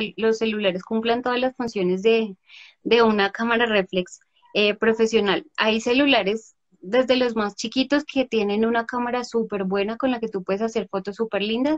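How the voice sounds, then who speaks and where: With a Bogotá accent, a woman speaks at a moderate pace and a fairly high pitch with ordinary pitch variation, in a dry, close sound with no echo. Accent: Bogotá Colombian Spanish. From Bogotá, Colombia. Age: 30s. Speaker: photographer. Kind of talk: interview.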